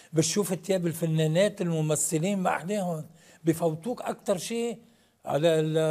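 A man with a dark, mellow tone, high pitch, ordinary pitch variation and a fairly slow pace, against a quiet background. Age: 60s. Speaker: actor; actor, guest. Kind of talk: TV interview. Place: studio.

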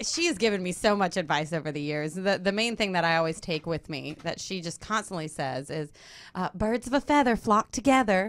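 A woman speaks fairly quickly in a medium pitch with an American accent. Her intonation is lively. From Louisiana, Baton Rouge; Louisiana. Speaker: actress and singer; actress. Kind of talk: interview. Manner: hesitant, with fillers. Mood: warm, smiling. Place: studio. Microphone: studio mic.

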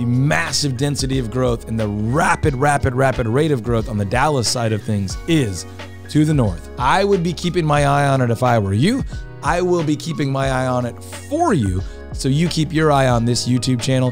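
Clear music in the background under a man's moderately paced speech. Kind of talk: informational vlog commentary to camera. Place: studio. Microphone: studio mic.

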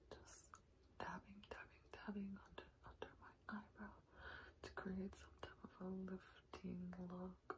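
Someone whispers, soft-spoken, at a fairly slow pace. Loud background noise sits behind the voice. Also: woman. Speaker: beauty vlogger. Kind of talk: casual makeup tutorial. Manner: soft ASMR whisper while applying makeup. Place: home room. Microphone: phone near.

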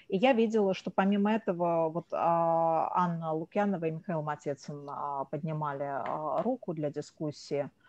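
A fairly slow speaker talks over a quiet background. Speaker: seminar moderator, research director. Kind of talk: formal moderation. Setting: video call.

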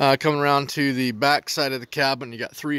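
A man is speaking here. The sound is dry, with no echo. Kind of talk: casual walkthrough narration. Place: garden. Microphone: phone near.

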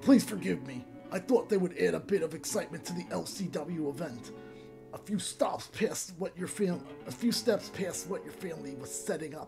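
A raspy, put-on character voice at a middle pitch, moderate pace and long, frequent pauses, over clear background music.

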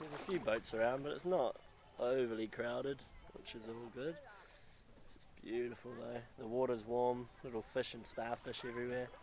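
A man talks at a moderate pace with ordinary pitch variation and big swings in loudness. The sound is dry with no echo, and there is light background noise. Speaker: travel vlogger. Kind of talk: casual vlog chat. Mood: excited, awed. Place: beach. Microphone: phone near.

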